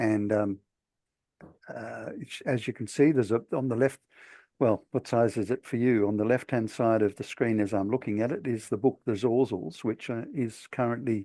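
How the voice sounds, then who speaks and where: A man speaks at medium pitch and a moderate pace with an Australian accent, his tone dark and mellow and his intonation fairly even. The sound is dry and close with no echo, over a quiet background. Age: 60s. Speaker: author. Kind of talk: talk. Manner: halting.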